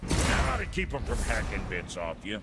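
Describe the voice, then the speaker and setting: Amid sound effects and loud background noise, a man performs a put-on character voice with a very deep, low pitch. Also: moderate pace. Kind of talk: comic character acting. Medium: video game. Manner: gruff, crude, grumbling.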